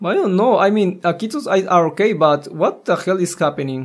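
Lively in intonation, a man speaks at a high pitch and a fairly slow pace.

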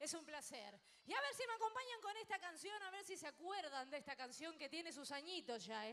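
Her voice raised and projected, a woman talks at a fairly quick pace with very wide pitch swings. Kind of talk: stage banter with audience. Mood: warm, affectionate. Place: stage. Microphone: handheld.

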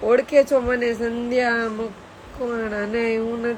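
With noticeable background noise behind her, a woman speaks at a high pitch with fairly even intonation. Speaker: live streamer. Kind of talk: casual chat.

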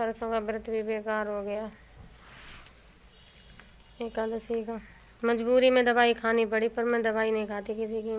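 A woman's tired tone with monotone, flat intonation, a fairly slow pace and long, frequent pauses. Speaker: vlogger. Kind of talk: casual vlog chat. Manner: weak, tired voice of a sick woman. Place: home room. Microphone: phone near.

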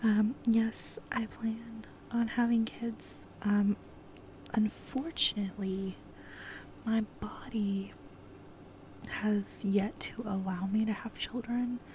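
Very slowly and with long, frequent pauses, a woman with an American accent speaks in a relaxed tone and fairly even intonation, in a dry sound with no echo and light background noise. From California. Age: 20s. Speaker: ASMR YouTuber. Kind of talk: casual Q&A monologue. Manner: relaxed, giggly with frequent fillers. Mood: open, a bit somber. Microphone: earbuds.

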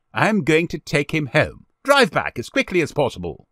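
A man does a put-on character voice, fairly high in pitch with a fairly bright tone and very wide pitch swings, at a moderate pace. The recording is very clean with a silent background and a dry, close sound with no echo.

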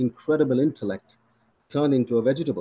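The man's tone is dark and mellow. He moves at a moderate pace with ordinary pitch variation. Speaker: physician. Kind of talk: interview Q&A. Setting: video call. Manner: formal. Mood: reflective, earnest. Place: home room. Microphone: video call.

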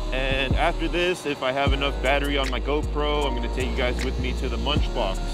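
A moderate pace with clear music in the background. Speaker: motovlogger. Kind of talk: casual vlog chat. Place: motorbike.

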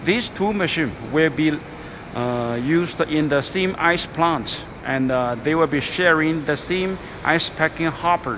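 A man at a fairly slow pace with ordinary pitch variation, noticeable background noise behind him. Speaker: factory seller showing machines. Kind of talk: product walkthrough commentary. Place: factory. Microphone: phone near.

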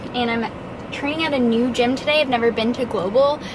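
A woman talks at a fairly quick pace with a high pitch and ordinary pitch variation. The sound is dry with no echo, though noticeable background noise is present. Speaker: fitness vlogger. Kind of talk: casual vlog chat. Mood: cheerful, laughing. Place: car. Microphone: phone near.

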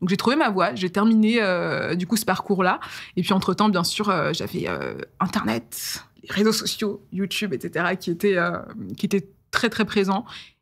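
Against a quiet background, a woman speaks at a medium pitch with vocal fry. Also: ordinary pitch variation, fairly slow pace. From France, Eure-et-Loir (Dreux). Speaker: YouTuber and storyteller. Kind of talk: casual interview. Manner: animated. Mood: relaxed, reflective. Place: studio. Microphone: studio mic.

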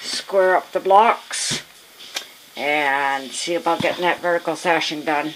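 Light background noise sits under speech at a fairly slow pace. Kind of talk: casual vlog chat. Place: home room. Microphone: phone near.

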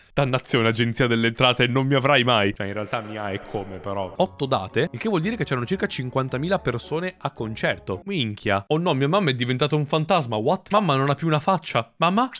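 The man's pitch swings very widely. He talks at a fairly quick pace. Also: hardly any pauses. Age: 20s. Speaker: gaming youtuber. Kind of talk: gameplay commentary. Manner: animated. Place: home room. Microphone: studio mic.

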